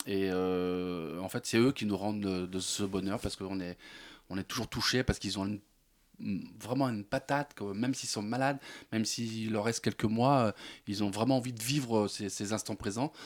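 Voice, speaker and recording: The recording is very clean, with a silent background. A man speaks at a moderate pace in a fairly low pitch with ordinary pitch variation. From France, Seine-Saint-Denis. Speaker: comedian. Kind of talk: radio interview. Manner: halting, many repetitions.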